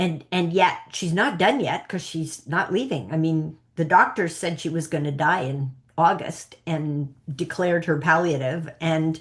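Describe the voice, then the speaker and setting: Fairly slow speech in a Canadian accent with ordinary pitch variation. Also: woman. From Canada. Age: 60s. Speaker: psychic coach. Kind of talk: interview. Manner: animated.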